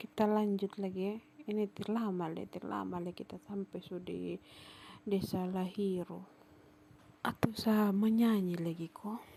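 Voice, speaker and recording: Her voice has a dark, mellow tone, and this woman speaks at a medium pitch with monotone, flat intonation at a fairly slow pace. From Sumba, East Nusa Tenggara, Indonesia. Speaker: vlogger. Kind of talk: travel vlog narration.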